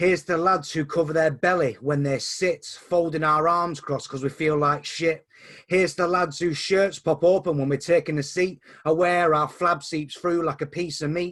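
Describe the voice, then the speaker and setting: With an ordinary speaking voice, a man talks at a moderate pace in a fairly high pitch and fairly even intonation. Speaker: poet. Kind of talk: spoken word poetry performance. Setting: video call.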